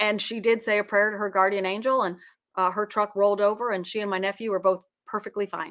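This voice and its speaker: A woman with an American accent at a very fast pace, in monotone, flat intonation. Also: medium pitch for a woman. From United States. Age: 50s. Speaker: psychic medium. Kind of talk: interview conversation.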